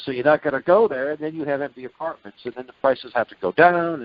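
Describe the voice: A man at a fairly quick pace, fairly high in pitch, with ordinary pitch variation and a dry, close sound with no echo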